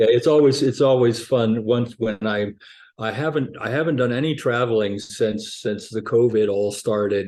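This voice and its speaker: Against a quiet background, a man with an unremarkable speaking voice speaks at a medium pitch and a moderate pace, his intonation fairly even. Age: 60s. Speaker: cellist and cello teacher, book author. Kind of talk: interview conversation. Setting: video call.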